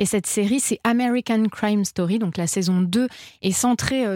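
A woman with a normal speaking voice, medium pitch and ordinary pitch variation at a moderate pace, in a very clean recording with a silent background. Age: 30s. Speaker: series critic. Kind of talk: casual chat.

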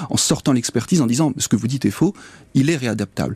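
A man with a dark, mellow tone and medium pitch talks at a very fast pace, his voice somewhat breathy and the sound dry and close with no echo. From northern France, near Douai. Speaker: magistrate and author. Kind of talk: interview. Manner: halting.

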